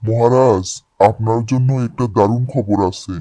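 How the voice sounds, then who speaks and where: A man puts on a cartoonish character voice. His pitch sits in the medium range. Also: moderate pace. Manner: flattering, persuasive.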